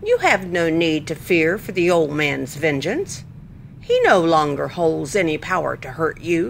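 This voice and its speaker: Over clear background noise, a female-sounding put-on character voice, fairly low for a woman, moves at a moderate pace. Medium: read story.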